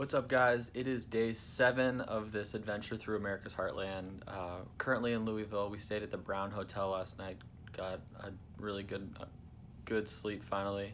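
There is light background noise as a man with an ordinary speaking voice talks in a fairly low pitch with fairly even intonation. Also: moderate pace. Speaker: travel vlogger. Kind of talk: casual vlog chat. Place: home room. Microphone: phone near.

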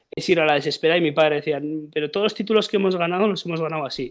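Over a quiet background, a man talks very fast in a high pitch with fairly even intonation. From Basque Country. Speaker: football podcast host. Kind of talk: casual chat. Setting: live stream. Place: home room. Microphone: headset.

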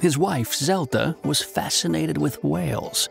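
A man at a fairly slow pace with very wide pitch swings, a dry sound with no echo, and clear music in the background. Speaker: voice actor. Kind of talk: TV commercial read. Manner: storyteller. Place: booth.

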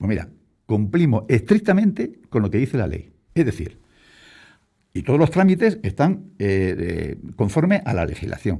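Against a quiet background, a man talks fairly slowly in a dark, mellow, somewhat breathy tone, his pitch swinging very widely. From Spain, Castilla-La Mancha (Puertollano). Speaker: local politician, deputy mayor. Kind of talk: radio interview. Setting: radio studio. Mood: defensive, argumentative. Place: studio. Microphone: studio mic.

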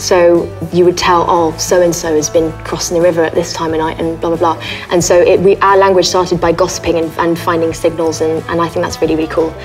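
Over faint background music, a woman speaks very fast in a fairly low, monotone voice with flat intonation. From France. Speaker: actress. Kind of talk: casual talk to camera. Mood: playful, light, chatty. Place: home room.

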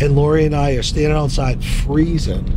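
Amid noticeable background noise, a man speaks in a monotone, flat intonation at a moderate pace, the sound dry with no echo. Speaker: interviewee. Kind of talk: interview answer. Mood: relaxed, amused storytelling. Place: car.

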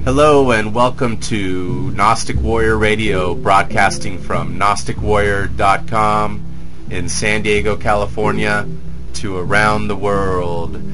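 Over music in the background, a man speaks very slowly at a fairly low pitch with lively intonation. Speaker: podcast host. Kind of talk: radio show introduction.

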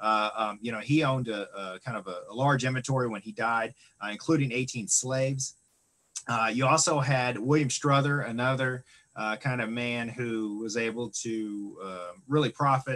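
The man speaks at a moderate pace. His pitch varies in an ordinary way. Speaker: museum director; presenter. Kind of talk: online lecture presentation. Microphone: video call.

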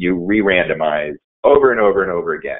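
A man talks at a moderate pace. The background is quiet. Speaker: statistician presenting research. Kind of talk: webinar presentation. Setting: video call. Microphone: video call.

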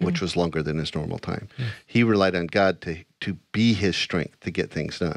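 Against a quiet background, a man with a very deep, low pitch talks at a fairly quick pace with ordinary pitch variation, the sound dry with no echo. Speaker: Bible study show host. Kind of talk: casual Bible study discussion. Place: studio. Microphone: studio mic.

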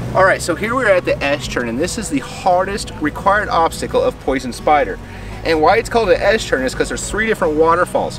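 Music plays clearly behind a man. He speaks very fast, and the sound is dry with no echo. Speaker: trail guide. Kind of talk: commentary. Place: open country.

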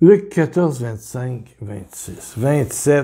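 His voice is dark and mellow, somewhat breathy. The man's intonation is lively. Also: quiet background. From Quebec. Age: 70s. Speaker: preacher; religious teacher. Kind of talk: video sermon. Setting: home kitchen. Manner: animated. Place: home room. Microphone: webcam.

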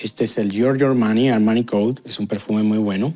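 A man speaks against a quiet background. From Venezuela. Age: 30s. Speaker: YouTuber, sociologist; vlogger. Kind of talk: video commentary. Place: home room. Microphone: lapel.

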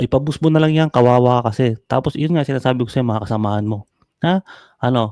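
The pace is moderate, and the pitch varies in an ordinary way. The sound is dry and close, with no echo. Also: man. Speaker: online content creator. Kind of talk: mocking rant at a rival creator. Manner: animated, frequent laughter.

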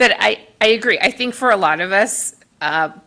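The woman speaks at a fairly slow pace. Her fairly high voice has lively intonation. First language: Spanish. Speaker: board commissioner. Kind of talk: public meeting discussion.

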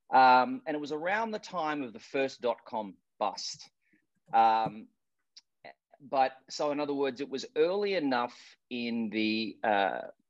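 Speaking at a fairly slow pace with long, frequent pauses, a man with an Australian accent uses lively intonation. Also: medium pitch for a man. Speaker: product manager. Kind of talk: presentation. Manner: halting.

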